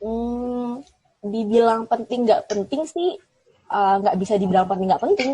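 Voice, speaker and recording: A woman speaks at a moderate pace with lively intonation. Her tone is dark and mellow. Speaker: TV presenter and alumna. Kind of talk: interview. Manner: casual, chatty.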